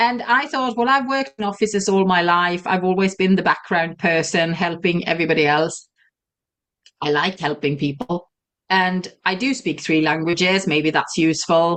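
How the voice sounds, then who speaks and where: Her voice sits fairly low, with a slight Swedish accent. This woman keeps her loudness very even. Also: moderate pace. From Sweden. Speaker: virtual assistant and entrepreneur. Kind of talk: interview.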